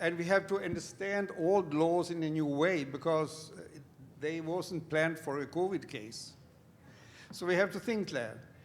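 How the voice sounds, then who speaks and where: A man with a Swedish accent, high-pitched, with ordinary pitch variation and a moderate pace. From Sweden. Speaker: lawyer. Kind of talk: panel discussion.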